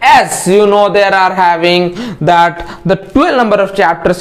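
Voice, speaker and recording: Against noticeable background noise, a man talks in a high pitch with fairly even intonation. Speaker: online tutor. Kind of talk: tutorial. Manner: fast; halting.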